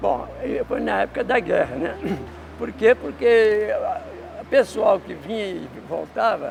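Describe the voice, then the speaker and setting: A man talks at a very slow pace with long, frequent pauses. Noticeable background noise runs underneath. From Brazil, Belo Horizonte (Minas Gerais). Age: 80s+. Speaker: neighborhood elder interviewee. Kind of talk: street interview. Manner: halting.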